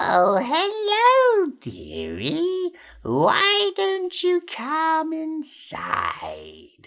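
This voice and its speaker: This is a put-on character voice, high-pitched and squeaky. It moves at a very slow pace. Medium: read story. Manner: sugary, coaxing.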